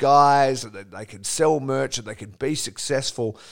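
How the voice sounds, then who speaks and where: In a very clean recording with a silent background, a man talks at a medium pitch in an ordinary speaking voice. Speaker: podcast host. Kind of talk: casual interview chat.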